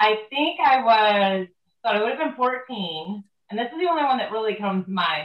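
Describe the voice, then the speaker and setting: A woman's very fast voice with an American accent and very wide pitch swings. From Northwest Ohio. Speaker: horse trainer. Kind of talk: casual chat.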